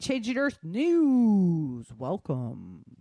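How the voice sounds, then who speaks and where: A woman puts on a character voice at medium pitch, with very wide pitch swings. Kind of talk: formal broadcast. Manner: polished, announcer-like.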